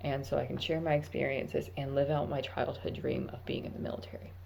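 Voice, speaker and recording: Vocal fry runs through a dark, mellow tone, with audible room echo around it. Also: woman. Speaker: vlogger, army recruit. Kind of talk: casual vlog monologue. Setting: at work.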